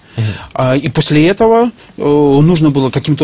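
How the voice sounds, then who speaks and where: With noticeable background noise behind him, a man talks fairly slowly. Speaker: business trainer. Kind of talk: interview. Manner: hesitant with fillers.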